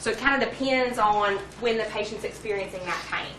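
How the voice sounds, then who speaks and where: A woman talks at a very fast pace with fairly even intonation, audible room echo and noticeable background noise. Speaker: pharmacy lecturer. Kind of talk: lecture.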